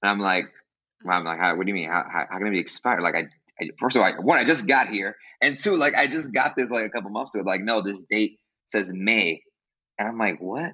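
Talking at a very fast pace, a man with an American accent speaks at a fairly low pitch. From Brooklyn, New York. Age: 20s. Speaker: music teacher and podcast host. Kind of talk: casual interview.

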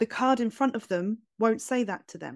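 A very fast pace on a very clean recording with a silent background, dry and close with no echo. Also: woman. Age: 30s. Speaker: tarot reader. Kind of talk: interview conversation.

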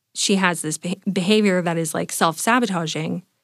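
A woman speaks in a Californian accent with ordinary pitch variation. The recording is very clean, dry and close, with no echo and a silent background. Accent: Californian American. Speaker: confidence and mindset coach. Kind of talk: coaching conversation. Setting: studio.

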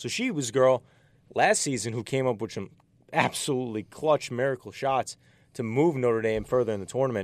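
The voice shows ordinary pitch variation. The recording is very clean, with a silent background. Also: man, medium pitch for a man. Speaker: sports talk co-host. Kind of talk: sports talk panel. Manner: fast talker.

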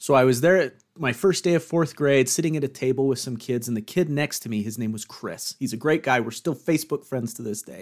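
A man's unremarkable speaking voice, medium in pitch with ordinary pitch variation, fairly quick with hardly any pauses and big swings in loudness, in a very clean recording with a silent background. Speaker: podcast host guest, fellow podcaster. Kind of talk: casual chat.

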